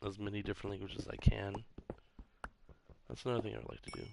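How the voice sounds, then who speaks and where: A soft-spoken man at a very fast pace, with long, frequent pauses, big swings in loudness and fairly even intonation. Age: 30s. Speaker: gaming streamer. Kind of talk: casual live-stream chat while gaming. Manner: soft-spoken, quiet; casual, rambling with fillers.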